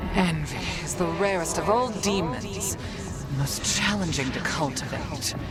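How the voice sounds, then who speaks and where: Loud background noise sits behind a put-on character voice moving at a moderate pace. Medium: short film. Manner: cold, measured.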